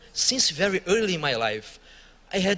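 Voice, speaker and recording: A man with a Brazilian accent at a moderate pace amid noticeable background noise. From Brazil, Rio de Janeiro. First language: Portuguese. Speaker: church worker. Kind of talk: testimony.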